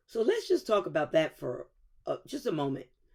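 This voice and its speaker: At a moderate pace, a woman of medium pitch speaks in a dark, mellow tone with very wide pitch swings. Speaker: podcast host. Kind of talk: motivational talk. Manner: loud and excitable; softened voice.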